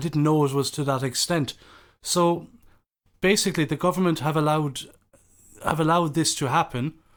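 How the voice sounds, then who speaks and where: Talking at a fairly quick pace, a man with a fairly high voice keeps his intonation fairly even. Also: very clean recording, silent background. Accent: Irish. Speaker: podcast host. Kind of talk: interview. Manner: halting.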